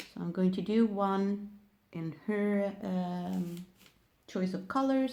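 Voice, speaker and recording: In a non-native accent, a woman speaks very slowly with a dark, mellow tone. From Sweden. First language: Swedish. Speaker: nail technician. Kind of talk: tutorial. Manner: halting.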